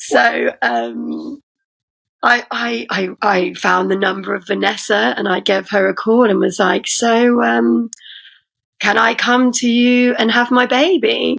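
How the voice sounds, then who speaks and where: A woman with an English Midlands accent speaks at a very slow pace. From England, Leicester. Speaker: poet and rapper. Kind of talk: casual chat.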